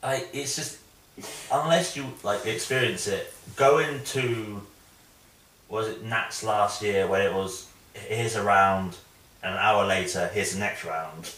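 The pace is slow and the intonation fairly even. A fairly bright tone comes through strong room echo. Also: man, fairly low pitch for a man.

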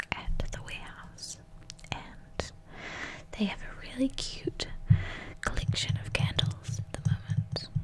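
Fairly slow whispering from a woman. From New Zealand. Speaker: ASMR artist. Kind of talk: ASMR whisper video. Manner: whispered, soft. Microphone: studio mic.

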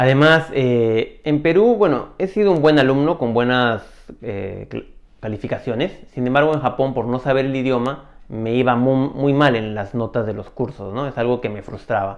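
Over a quiet background, a man talks at a moderate pace with a medium pitch and ordinary pitch variation. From Peru. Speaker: video storyteller. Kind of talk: personal story monologue. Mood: reflective, calm. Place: home room. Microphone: lapel.

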